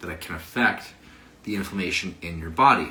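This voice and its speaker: Over noticeable background noise and audible room echo, a man speaks fairly quickly in an animated tone at a fairly low pitch. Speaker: fitness coach. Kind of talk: casual livestream talk on health.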